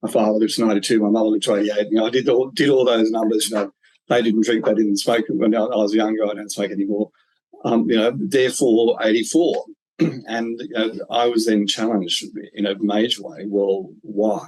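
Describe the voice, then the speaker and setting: A man at a fairly quick pace, with medium pitch and ordinary pitch variation. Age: 60s. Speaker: business coach and podcast host. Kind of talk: interview conversation. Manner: halting, many fillers.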